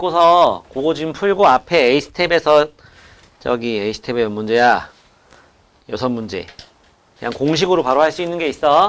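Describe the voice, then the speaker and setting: A man's fairly high voice with lively intonation, a moderate pace, and long, frequent pauses. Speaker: math tutor. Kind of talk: lecture.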